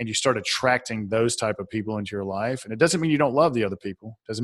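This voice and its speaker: Speaking very fast, a man uses a Southern US accent at a medium pitch. The sound is dry and close, with no echo. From Atlanta, Georgia, US South. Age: 40s. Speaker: author and speaker. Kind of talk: casual interview.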